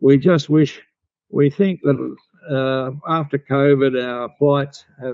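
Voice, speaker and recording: Talking at a fairly slow pace, a man with an Australian accent has a fairly high pitch and fairly even intonation. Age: 90s. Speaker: bodywork therapy teacher. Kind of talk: interview.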